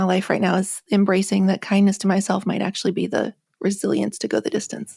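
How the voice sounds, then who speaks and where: Vocal fry runs through a woman's medium-pitched voice. She speaks at a fairly quick pace. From Appalachia. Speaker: author. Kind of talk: podcast interview. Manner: casual, reflective with fillers.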